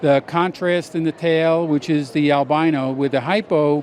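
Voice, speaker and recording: Here is a man with an unremarkable speaking voice, pitched fairly high. He keeps a moderate pace and fairly even intonation. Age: 60s. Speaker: snake breeder. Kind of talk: casual interview.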